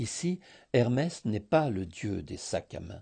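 A very slow, somewhat breathy man's voice with a dark, mellow tone against a quiet background. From Greece, Thessaloniki. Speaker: contributor reading a written scent story. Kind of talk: reading aloud.

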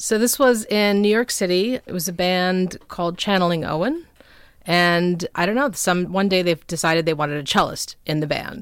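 A woman with an ordinary speaking voice and an American accent talks at a medium pitch and moderate pace with ordinary pitch variation, on a very clean recording with a silent background. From Minnesota, suburb of Minneapolis. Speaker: musician and photographer. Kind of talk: casual interview. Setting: home recording studio.

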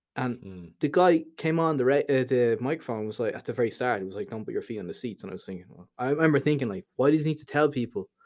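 Over a silent background in a very clean recording, a man with a Dublin accent talks at a very fast pace. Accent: Dublin Irish. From Dublin, Ireland. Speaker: YouTuber. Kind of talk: casual chat.

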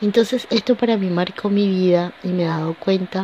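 A woman with a medium pitch speaks at a fairly slow pace and with fairly even intonation, with noticeable background noise. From Venezuela. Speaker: podcast host, life coach. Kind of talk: motivational monologue.

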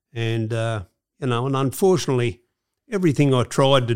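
A man with a strong Australian accent at a medium pitch, ordinary pitch variation and a moderate pace, in a very clean recording over a silent background. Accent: broad Australian. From Australia, Sydney. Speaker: former gangster. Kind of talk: interview storytelling.

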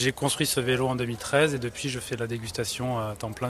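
Fairly even intonation from a man, set against noticeable background noise. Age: 30s. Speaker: street oyster vendor. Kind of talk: interview testimony. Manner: halting.

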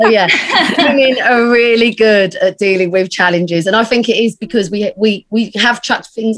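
A woman with a British accent talks at a moderate pace with ordinary pitch variation. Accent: regional British, noticeable. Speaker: digital agency founder and entrepreneur. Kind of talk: casual interview chat.

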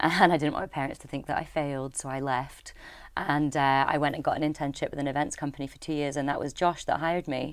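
Very fast, monotone speech from a woman with a Scottish Highland accent and a very deep, low pitch, on a very clean recording with a silent background. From Scottish Highlands. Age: 30s. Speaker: social enterprise co-founder. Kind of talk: casual interview. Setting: studio.

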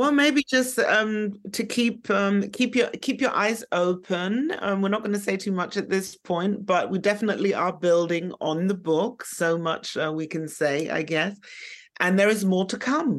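Speaking with a German accent, a woman uses a medium pitch and ordinary pitch variation. Her pace is fairly slow. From Germany. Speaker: academic and activist. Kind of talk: interview. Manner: halting, many fillers.

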